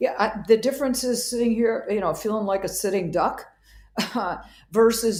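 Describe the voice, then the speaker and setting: The voice has a dark, mellow tone and a slight Wisconsin accent. It moves at a fairly quick pace with ordinary pitch variation. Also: woman. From Wisconsin, US Midwest. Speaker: psychiatrist. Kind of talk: interview conversation.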